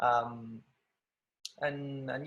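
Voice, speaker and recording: With an Argentine accent, a man speaks at a fairly high pitch. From Argentina. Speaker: ballet dancer. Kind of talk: interview. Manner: halting.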